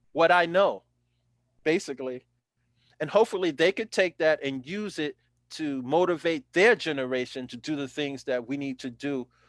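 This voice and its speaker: A man with an American accent and a normal speaking voice talks at a fairly slow pace in a fairly high pitch, with ordinary pitch variation against a quiet background. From New York (South Bronx). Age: 60s. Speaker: former city councilor. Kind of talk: interview, testimony.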